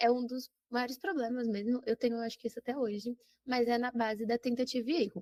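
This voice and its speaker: A woman with a dark, mellow tone speaks at a high pitch and a fairly quick pace, her intonation fairly even. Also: dry, close sound with no echo. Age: 20s. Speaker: geography teacher. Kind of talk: casual interview.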